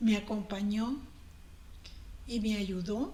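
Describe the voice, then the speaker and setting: A woman speaks at a medium pitch with fairly even intonation. There is audible room echo and noticeable background noise. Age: 60s. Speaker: cancer survivor. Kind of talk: interview.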